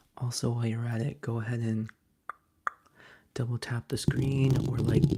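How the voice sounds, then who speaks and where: A soft-spoken man speaks at a medium pitch. His intonation is fairly even. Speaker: ASMR livestreamer. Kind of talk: casual ASMR live chat. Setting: live stream.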